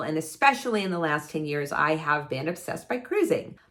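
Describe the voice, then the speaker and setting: Speaking at a moderate pace, a woman sounds animated. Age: 60s. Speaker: travel vlogger. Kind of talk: casual vlog monologue. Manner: halting.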